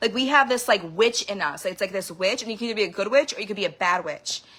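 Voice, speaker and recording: Noticeable background noise behind a woman's fairly high-pitched voice, animated in tone with lively intonation. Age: 30s. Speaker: vlogger sharing personal experiences. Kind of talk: emotional personal monologue.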